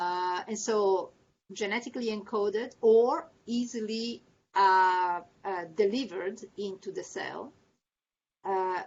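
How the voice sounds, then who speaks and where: A woman speaks at a very slow pace, her medium pitch varying in an ordinary way. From Italy. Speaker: medical researcher. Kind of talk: lecture; Q&A. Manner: halting.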